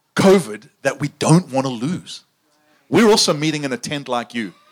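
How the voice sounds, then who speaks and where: A man speaks with a South African accent. His pitch is fairly high and his intonation lively. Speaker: preacher. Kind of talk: sermon. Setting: tent with audience.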